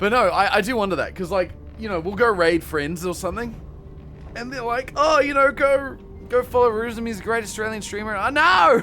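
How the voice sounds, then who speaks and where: A man speaks in a raised, projected voice, high-pitched with lively intonation. Music plays in the background. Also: fairly quick pace. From New Zealand, Southland. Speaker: streamer. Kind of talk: live game stream chat. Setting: live stream. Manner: casual, animated.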